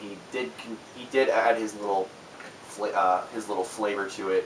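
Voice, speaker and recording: A man speaks in a fairly low pitch at a moderate pace. Noticeable background noise can be heard. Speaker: music reviewer. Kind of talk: album review monologue. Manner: halting, many fillers.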